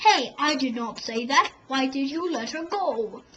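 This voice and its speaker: Using a put-on character voice, a woman speaks at a fairly slow pace in a high pitch. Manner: gruff, indignant.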